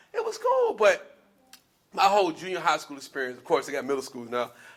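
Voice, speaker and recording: A man with an American accent talks at a fairly quick pace, his pitch varying in an ordinary way. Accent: Southern twang, sometimes. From US South, Spartanburg, South Carolina. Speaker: spoken word artist. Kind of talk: storytelling talk to an audience.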